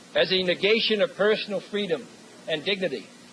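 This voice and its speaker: Noticeable background noise sits behind a man speaking at a moderate pace. His pitch is high. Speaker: U.S. president giving a commencement address. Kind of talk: formal commencement speech. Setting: podium speech to a live audience, 1963 recording. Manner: measured, oratorical.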